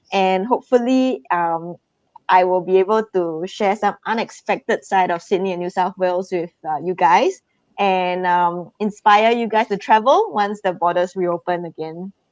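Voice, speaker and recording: With a Singaporean accent, a woman talks at a moderate pace and medium pitch, her intonation fairly even, in a dry, close sound with no echo against a quiet background. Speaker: tourism promoter. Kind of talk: live stream presentation. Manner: halting with fillers.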